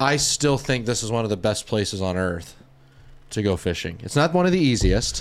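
On a very clean recording with a silent background, the speaker uses an American accent and very wide pitch swings. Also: man, medium pitch for a man, moderate pace. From Florida Gulf Coast (Dunedin). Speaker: podcast host, fly shop. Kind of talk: casual interview.

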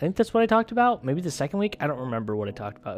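A man's speech rises and falls with lively intonation while music runs in the background. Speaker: podcast host. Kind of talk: casual monologue. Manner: loud; hesitant, many fillers.

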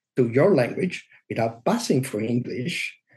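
A man with an Italian accent speaks at a fairly slow pace in a somewhat breathy voice, his pitch swinging very widely. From Italy. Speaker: SEO consultant. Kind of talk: interview.

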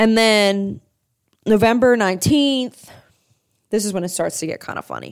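The recording is very clean and the background silent. A woman talks in an animated tone. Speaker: sports podcast host. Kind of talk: casual solo sports commentary.

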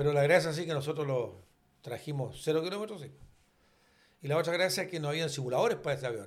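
A man with a fairly high pitch talks at a very fast pace, with ordinary pitch variation. He leaves long, frequent pauses. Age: 70s. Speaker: retired airline pilot and flight instructor. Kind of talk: casual chat. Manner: halting.

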